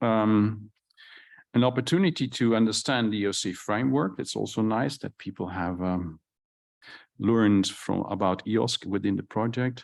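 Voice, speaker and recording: On a very clean recording with a silent background, a man speaks at a fairly low pitch with a Dutch accent. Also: ordinary pitch variation, moderate pace. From Netherlands. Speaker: conference session moderator. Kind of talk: conference presentation. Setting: conference hall with live audience. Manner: halting, many fillers and restarts.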